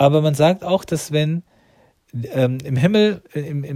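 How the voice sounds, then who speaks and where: His voice is fairly high for a man, with a dark, mellow tone and a somewhat breathy quality. The intonation is lively. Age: 40s. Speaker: religious podcaster. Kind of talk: religious monologue. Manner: halting, many fillers.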